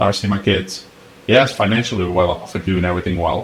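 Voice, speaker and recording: Noticeable background noise surrounds a man with a fairly low pitch. He talks very fast with fairly even intonation. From Siberia, Russia. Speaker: corporate leader. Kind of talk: interview answer.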